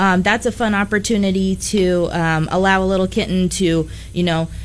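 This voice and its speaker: With a medium pitch and fairly even intonation, a woman talks at a moderate pace in an ordinary speaking voice. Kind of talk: casual chat. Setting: studio.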